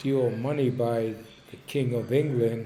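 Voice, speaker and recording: In a Philadelphia accent, a man speaks very slowly with monotone, flat intonation, and the room echo is audible. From Philadelphia, North Philly. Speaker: storyteller. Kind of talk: personal reminiscence monologue. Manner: hesitant, with fillers.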